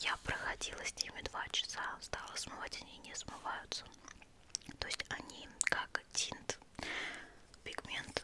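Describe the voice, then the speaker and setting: At a fairly slow pace, a woman is whispering. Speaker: ASMR beauty blogger. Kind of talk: ASMR cosmetics review, casual chat to camera. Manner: whispered, intimate. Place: home room. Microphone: studio mic.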